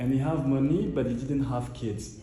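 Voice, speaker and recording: A man speaks at a moderate pace, his voice carrying some audible room echo. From Cameroon. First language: Cameroonian local language, also French. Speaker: painter. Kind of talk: casual interview in gallery. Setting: art gallery. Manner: halting, many fillers.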